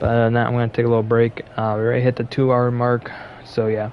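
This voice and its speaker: Amid noticeable background noise, a man of medium pitch speaks in a monotone, flat intonation. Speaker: gaming streamer. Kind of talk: gameplay commentary. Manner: casual; low volume.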